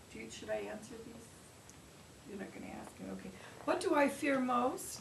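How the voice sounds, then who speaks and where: Noticeable background noise and audible room echo fill the recording. A woman speaks at a moderate pace. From Alaska (Cordova). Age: 70s. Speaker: foster grandparent, museum volunteer. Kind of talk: interview.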